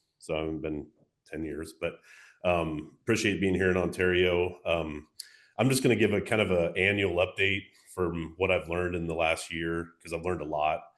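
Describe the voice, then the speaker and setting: A man speaks in a very deep, low voice at a moderate pace. His intonation stays fairly even. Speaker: wildlife agency mitigation coordinator. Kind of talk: conference presentation. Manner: loud. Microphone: tends to hold mic too close.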